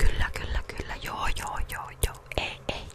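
At a very slow pace, a woman is whispering. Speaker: practical nurse student. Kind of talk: ASMR trigger words and casual talk. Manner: soft-spoken. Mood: playful, joking. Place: home room. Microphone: studio mic.

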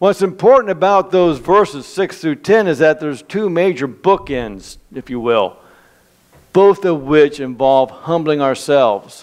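Surroundings stay quiet. A man talks at a fairly slow pace. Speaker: preacher. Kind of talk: sermon. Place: church.

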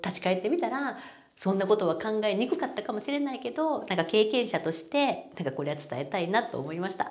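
Very wide pitch swings mark this woman's medium-pitched voice. She talks fairly quickly, with hardly any pauses. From Japan. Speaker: marriage coaching YouTuber. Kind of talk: casual talk to camera. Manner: animated. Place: office. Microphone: lapel.

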